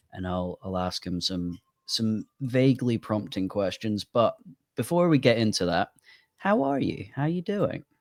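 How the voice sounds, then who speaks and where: A man with a British accent talks at a fairly slow pace, his pitch swinging very widely, in a dry, close sound with no echo. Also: medium pitch for a man, very clean recording, silent background. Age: 20s. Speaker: podcast host. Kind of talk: casual chat.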